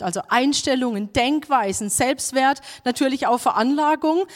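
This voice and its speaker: A woman's high pitch at a fairly slow pace. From southern Germany, Baden. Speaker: preacher. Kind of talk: sermon.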